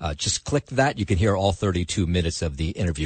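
Very deep and low, this man's voice is pitched far down. It is somewhat breathy. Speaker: radio news host. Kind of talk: news reading. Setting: studio.

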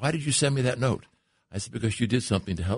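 Against a quiet background, a man with an American accent and vocal fry speaks at a very fast pace. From Long Island, New York. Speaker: career skills trainer. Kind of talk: radio interview. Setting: radio studio.

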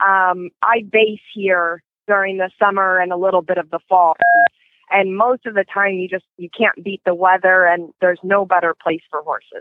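Flat, monotone intonation marks this woman's medium-pitched speech, which moves at a moderate pace. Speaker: show jumping rider and breeder. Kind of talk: interview. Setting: phone call.

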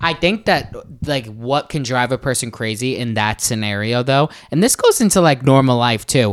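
A man with a New York accent, at a moderate pace and with ordinary pitch variation. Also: medium pitch for a man. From New York City, Staten Island. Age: 20s. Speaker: dancer and social media influencer. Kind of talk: casual chat.

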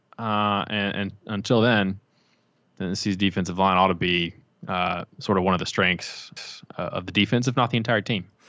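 An unremarkable speaking voice, the man's sits at a fairly low pitch, with fairly even intonation and a moderate pace. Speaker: college football beat writer. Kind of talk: casual sports chat. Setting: remote call from home.

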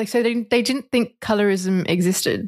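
On a very clean recording with a silent background, the speaker talks with an Australian accent and ordinary pitch variation. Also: woman. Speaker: ecologist, activist and model. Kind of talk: interview.

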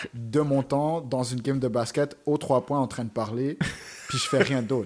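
With a normal speaking voice, a man talks at a fairly high pitch and ordinary pitch variation. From Montreal, Quebec (east end, around Montréal-Nord). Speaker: web series host and rapper. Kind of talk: casual chat.

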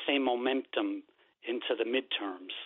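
This man's pitch varies in an ordinary way as he talks at a moderate pace. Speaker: caller. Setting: phone call. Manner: halting.

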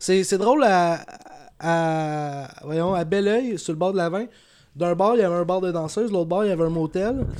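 The speaker has a Quebec accent, a moderate pace and ordinary pitch variation. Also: man, high pitch for a man. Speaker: vlogger. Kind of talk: casual chat.

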